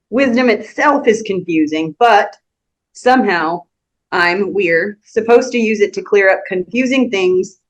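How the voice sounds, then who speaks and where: At a fairly slow pace, the speaker uses a normal speaking voice with lively intonation. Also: woman. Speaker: church class teacher. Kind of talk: bible class teaching.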